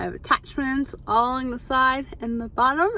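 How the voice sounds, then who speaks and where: Moderately paced female speech, high in pitch, with noticeable background noise. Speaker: vlogger. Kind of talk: casual vlog.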